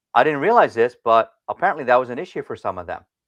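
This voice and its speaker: A man speaks with a Philadelphia accent. The sound is dry and close, with no echo and a quiet background. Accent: Philadelphia-area American. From US Northeast (Philadelphia area), Indian family. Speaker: martial arts teacher and speaker. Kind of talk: personal story in interview. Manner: halting with repetitions.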